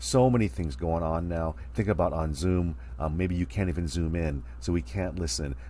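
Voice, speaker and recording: A man's very deep, low voice carries a dark, mellow tone and a somewhat breathy quality. His intonation is lively, and the room echo is audible. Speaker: college speech instructor. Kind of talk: recorded online lecture. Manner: fast; casual.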